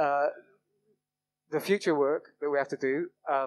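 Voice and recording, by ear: A man speaks at a fairly high pitch. His intonation stays fairly even. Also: fairly slow pace.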